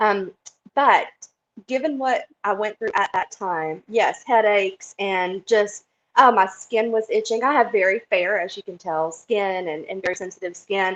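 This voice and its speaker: The speaker has a Southern US accent, a fairly slow pace and ordinary pitch variation. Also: woman, medium pitch for a woman. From US South, South Carolina. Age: 40s. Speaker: interviewee sharing health story. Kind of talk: interview testimony. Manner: animated.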